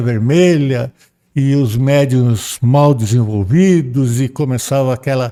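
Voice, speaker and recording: A man's medium-pitched voice with a dark, mellow tone, dry and close with no echo, on a very clean recording over a silent background. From Brazil, São Paulo. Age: 70s. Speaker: podcast guest. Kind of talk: casual interview testimony. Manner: halting, many repetitions.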